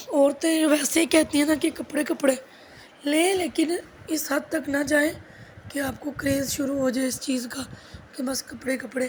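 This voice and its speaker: With noticeable background noise behind her, a woman speaks fairly slowly in a high pitch, her intonation fairly even. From Pakistan. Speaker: housewife vlogger. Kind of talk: casual vlog talk.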